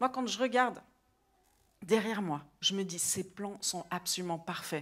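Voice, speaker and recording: On a very clean recording with a silent background, a woman speaks at a fairly slow pace. Her tone is animated and her intonation lively. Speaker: preacher. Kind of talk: sermon. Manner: loud.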